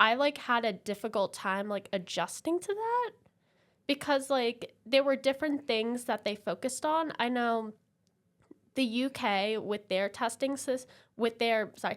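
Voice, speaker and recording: A woman with an American accent speaks at a fairly slow pace in a high voice. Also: very clean recording, silent background. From London, UK and New Jersey, US. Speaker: podcast guest. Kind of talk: casual interview chat.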